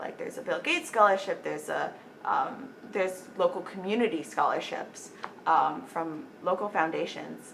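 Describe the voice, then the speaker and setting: Fairly quick speech from a woman, with noticeable background noise. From Las Cruces, New Mexico. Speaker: college senior, future medical student. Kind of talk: interview answer.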